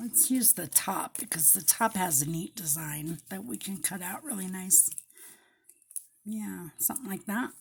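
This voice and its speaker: Her pitch swings very widely around a medium level, with vocal fry. The woman speaks at a fairly slow pace. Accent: American. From Colorado, US. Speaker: paper crafter. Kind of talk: crafting tutorial. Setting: home craft table, overhead camera. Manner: casual, chatty.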